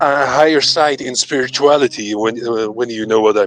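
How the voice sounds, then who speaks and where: With music playing in the background, a man speaks at a medium pitch with fairly even intonation. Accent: Dutch. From Netherlands. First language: Dutch. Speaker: debate caller. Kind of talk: casual debate discussion. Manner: halting, many stutters and restarts.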